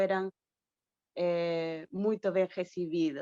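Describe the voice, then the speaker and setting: A woman with a Spanish accent, medium pitch and monotone, flat intonation, in a dry, close sound with no echo. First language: Spanish (speaking Portuguese). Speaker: academic historian. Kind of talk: question at online panel. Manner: halting.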